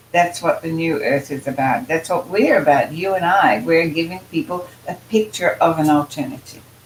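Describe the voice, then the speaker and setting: A woman with a fairly low pitch talks at a moderate pace with lively intonation and hardly any pauses, over noticeable background noise. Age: 80s+. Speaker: spiritual channeler and author. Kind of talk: casual chat.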